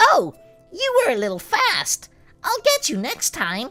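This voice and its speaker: A squeaky, put-on character voice at a fairly slow pace, with faint music in the background. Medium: read story. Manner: giggly, teasing.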